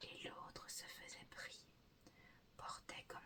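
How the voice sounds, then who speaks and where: This is a woman. She is whispering. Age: 20s. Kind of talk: poetry reading. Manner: whispered.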